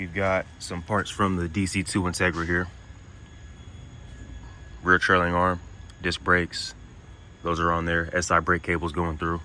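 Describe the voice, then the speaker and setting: A man speaks in a very deep, low voice at a moderate pace. His intonation is flat and monotone, with long, frequent pauses. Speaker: car builder, home mechanic. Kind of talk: casual walkthrough of a car build.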